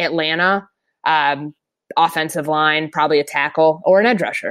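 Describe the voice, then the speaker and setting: A woman speaks at a fairly slow pace with fairly even intonation. Her pitch is fairly low, and the background is quiet. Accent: Minnesotan. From Minnesota, US Midwest. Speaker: NFL reporter. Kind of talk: casual chat.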